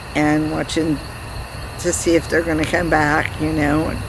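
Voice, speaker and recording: A woman's fairly low voice amid noticeable background noise and audible room echo. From rural upbringing on a farm. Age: 60s. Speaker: gardening channel host. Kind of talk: casual tutorial. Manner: casual, conversational with fillers.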